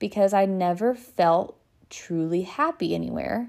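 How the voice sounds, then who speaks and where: Over a very clean recording with a silent background, a woman with a Texan accent speaks fairly slowly at a medium pitch. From US South, north Texas. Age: 20s. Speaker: podcast host and small business owner. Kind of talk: casual monologue.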